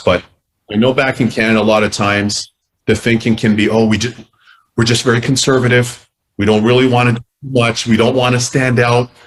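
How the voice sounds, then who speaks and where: At a fairly quick pace, a man talks at a medium pitch with monotone, flat intonation. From Canada. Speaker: former hockey goalie, sports analyst. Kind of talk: interview answer. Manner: fast-talking, engaging.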